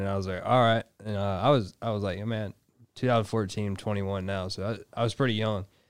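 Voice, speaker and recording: On a very clean recording with a silent background, a man at a fairly low pitch speaks at a moderate pace with fairly even intonation. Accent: Southern Louisiana. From Louisiana. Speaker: soldier and harmonica player. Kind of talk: interview.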